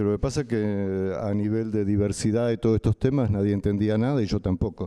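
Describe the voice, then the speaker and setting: A man with a Rioplatense accent, a dark, mellow tone and fairly even intonation. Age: 60s. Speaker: artist and activist. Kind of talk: panel talk, personal testimony.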